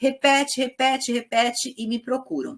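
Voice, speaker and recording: This is a woman speaking. Her voice is high in pitch. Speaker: psychoanalysis teacher. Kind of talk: lecture. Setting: live-streamed class with audience. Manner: relaxed, informal.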